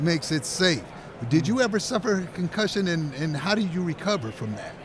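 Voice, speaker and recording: A man speaks at a fairly quick pace in a high voice with lively intonation over noticeable background noise. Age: 60s. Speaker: sports talk host. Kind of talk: interview. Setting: radio row broadcast booth.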